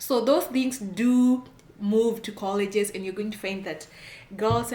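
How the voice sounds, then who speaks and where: A woman speaks with a strong Kenyan accent in an animated tone. Noticeable background noise can be heard behind her. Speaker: immigration consultant, channel host. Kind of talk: advice talk to camera.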